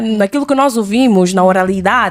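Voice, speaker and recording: Her intonation lively, a woman is speaking. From Mozambique. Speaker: podcast host. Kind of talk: casual chat.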